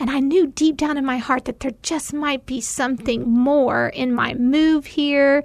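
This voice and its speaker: Speaking fairly slowly with hardly any pauses, a woman uses a high pitch. Noticeable background noise is present. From Tennessee. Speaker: mom and nonprofit volunteer. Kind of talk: casual chat.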